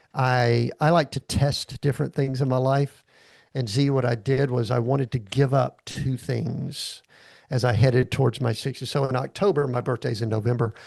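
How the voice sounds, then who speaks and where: This man speaks in a Southern US accent at a moderate pace, his medium-pitched voice somewhat breathy. His intonation stays fairly even against a quiet background. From US South, Atlanta, Georgia. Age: 60s. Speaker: executive coach. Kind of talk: casual chat.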